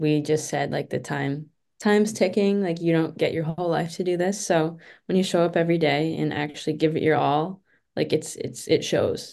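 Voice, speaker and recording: A woman speaks at a moderate pace with a fairly low pitch, ordinary pitch variation, and a dark, mellow tone. Her tone is calm, and the background is quiet. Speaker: college hockey goalie. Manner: quiet, calm.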